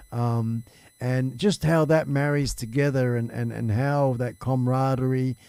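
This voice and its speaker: With an Australian accent, a man speaks at medium pitch with ordinary pitch variation. The tone is dark and mellow. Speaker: live stream talk show host. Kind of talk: casual chat.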